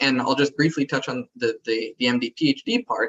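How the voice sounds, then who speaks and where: A plain, everyday voice with an American accent at a moderate pace. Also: man. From US West Coast (San Diego). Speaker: MD-PhD student. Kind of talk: panel Q&A.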